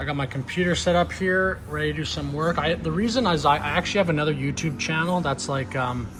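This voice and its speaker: Very fast male speech amid noticeable background noise. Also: fairly high pitch for a man, ordinary pitch variation, hardly any pauses. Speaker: travel vlogger. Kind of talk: casual vlog walkthrough. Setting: walking outdoors at night, then inside a cafe. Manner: loud; hesitant, fillers and repetitions.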